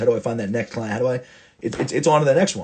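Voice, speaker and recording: A man's medium-pitched, somewhat breathy voice, animated in tone and at a very fast pace. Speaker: football coach. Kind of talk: casual monologue.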